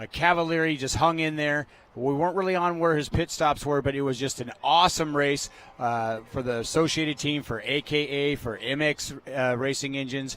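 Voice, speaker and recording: The speaker talks at a moderate pace. Noticeable background noise is audible. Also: man. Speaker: race commentator. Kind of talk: live commentary. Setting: commentary booth at race track. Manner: animated.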